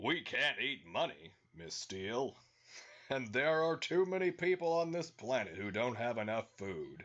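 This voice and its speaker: A man performs a put-on character voice at medium pitch. His pitch swings very widely while the pace stays moderate. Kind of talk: comic dramatic reading. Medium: read story. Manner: smug, self-satisfied.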